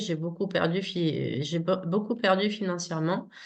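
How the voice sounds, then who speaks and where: A woman talks in a fairly low pitch. Audible room echo surrounds her voice. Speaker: interviewee describing personal experiences. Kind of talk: testimony. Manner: halting.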